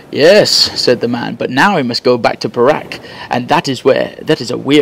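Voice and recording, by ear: A text is read aloud in a natural voice.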